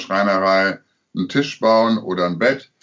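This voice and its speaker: This man's voice is fairly low in pitch. His delivery keeps a moderate pace. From Münster, Germany. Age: 60s. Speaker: theatre director. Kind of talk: interview. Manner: hesitant, many fillers.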